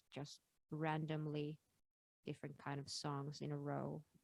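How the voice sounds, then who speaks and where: A woman talks at a fairly slow pace in a very deep, low pitch. The recording is dry and close, without echo. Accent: Finnish. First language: Finnish. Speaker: singer. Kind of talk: interview. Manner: halting.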